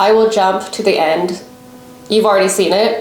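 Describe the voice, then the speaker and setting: A woman talks at a moderate pace in a fairly high voice, her pitch varying in an ordinary way amid noticeable background noise. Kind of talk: casual talk to camera, hair-care vlog. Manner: mumbling at times.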